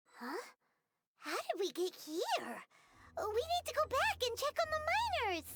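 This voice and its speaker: A squeaky put-on character voice at an extremely high pitch, with very wide pitch swings, a moderate pace and long, frequent pauses. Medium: video game.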